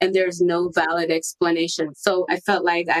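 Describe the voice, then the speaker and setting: In a dry, close sound with no echo, a woman speaks at a moderate pace, her fairly low pitch held in a monotone, flat intonation. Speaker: brand messaging strategist and founder. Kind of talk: podcast interview.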